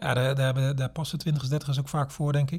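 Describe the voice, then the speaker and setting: A man's voice sits at a fairly high pitch and sounds somewhat breathy with a dark, mellow tone. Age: 40s. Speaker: pastor. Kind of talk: interview conversation. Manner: halting, with fillers and repetitions.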